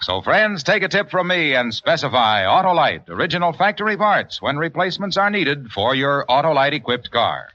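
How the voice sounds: The tone is bright and sharp, with big pitch swings. The pace is moderate and there are few pauses. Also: man, fairly high pitch for a man.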